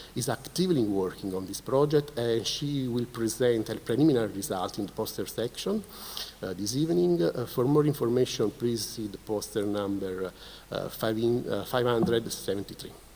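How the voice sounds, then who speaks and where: Noticeable background noise runs under a man talking fairly quickly at a medium pitch. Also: ordinary pitch variation. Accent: Italian. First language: Italian. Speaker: keynote speaker, researcher. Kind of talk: conference presentation. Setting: conference stage with audience. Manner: halting, many fillers.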